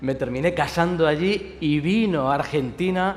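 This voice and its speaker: Audible room echo surrounds a man with a Spanish accent. His pitch is fairly high, with ordinary variation. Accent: Spanish (Spain). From Spain. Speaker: pastor. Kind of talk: sermon.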